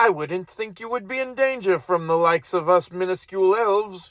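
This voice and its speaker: A man puts on a character voice, pitched high and delivered at a fairly quick pace. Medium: read story. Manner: polite, deferential.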